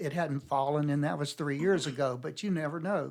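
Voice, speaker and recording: Here a man with an American accent talks at a moderate pace, fairly high in pitch, with ordinary pitch variation, on a very clean recording with a silent background. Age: 60s. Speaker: mine explorer. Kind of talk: casual chat. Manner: halting.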